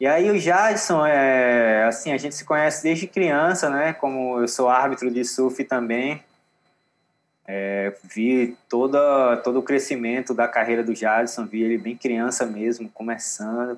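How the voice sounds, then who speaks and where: This man has an ordinary speaking voice, medium in pitch, with ordinary pitch variation and a fairly slow pace. The recording is very clean, with a silent background. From Northeast Brazil, Aracaju and Natal. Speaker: yoga instructor and surfer. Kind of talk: casual chat.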